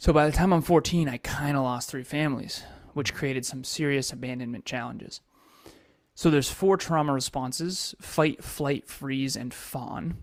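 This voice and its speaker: A man with a normal speaking voice and an American accent talks at a moderate pace and a fairly high pitch. His pitch variation is ordinary, on a very clean recording with a silent background. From Massachusetts. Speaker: entrepreneur and coach. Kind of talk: interview life story.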